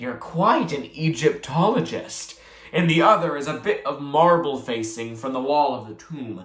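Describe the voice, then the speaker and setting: A gravelly, put-on character voice at a low-to-middle pitch. It moves at a moderate pace. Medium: read story. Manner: formal, restrained.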